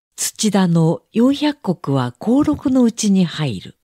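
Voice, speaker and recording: On a very clean, dry and close recording with a silent background and no echo, the voice moves very slowly through very wide pitch swings. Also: woman. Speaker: audiobook narrator. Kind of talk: reading aloud.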